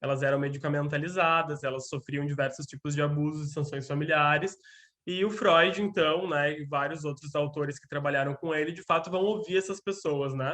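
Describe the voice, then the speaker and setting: A man talks at a fairly quick pace with a fairly high pitch and a bright, sharp tone. His loudness swings widely. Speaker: lecturer on gender and psychoanalysis. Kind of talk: lecture. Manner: fast; animated.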